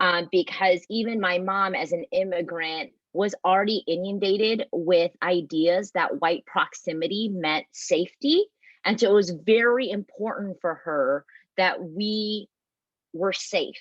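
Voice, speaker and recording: With an American accent, a woman speaks in an unremarkable speaking voice at a medium pitch, with ordinary pitch variation and a fairly slow pace. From US, immigrated from Vietnam as toddler. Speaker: pastor. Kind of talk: panel discussion.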